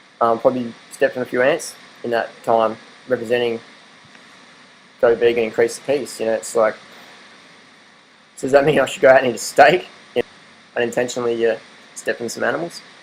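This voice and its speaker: A man with an Australian accent talks very fast at a medium pitch, leaving long, frequent pauses. Noticeable background noise runs beneath his voice. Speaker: vegan diet vlogger. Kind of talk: casual monologue. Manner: animated.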